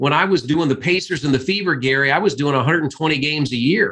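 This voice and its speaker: A man with a Midwestern US accent. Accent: US Midwest. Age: 60s. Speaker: sports play-by-play announcer. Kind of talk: interview.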